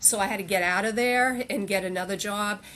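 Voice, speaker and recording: Against noticeable background noise, a woman with an American accent speaks at medium pitch and a moderate pace with fairly even intonation. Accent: Boston accent, comes and goes. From Boston area, US. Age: 50s. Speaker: psychiatric nurse practitioner, EMT and powerlifter. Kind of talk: casual interview chat.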